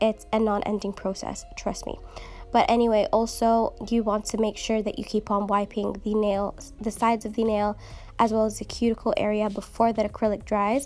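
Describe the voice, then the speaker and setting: Over noticeable background noise, the speaker talks at a moderate pace with flat, monotone intonation. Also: woman, fairly high pitch for a woman. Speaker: nail technician. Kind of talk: tutorial voiceover. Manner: casual, many fillers.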